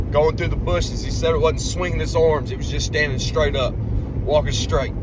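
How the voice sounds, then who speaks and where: This man's voice carries audible room echo along with noticeable background noise. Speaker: bigfoot field researcher. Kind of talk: casual recorded account. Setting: in a car.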